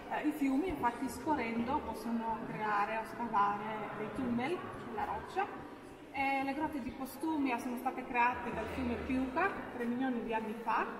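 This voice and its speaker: Speech at a moderate pace with noticeable background noise. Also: woman, ordinary pitch variation. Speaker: cave tour guide. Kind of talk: guided tour talk. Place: tunnel cave. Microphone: camera far.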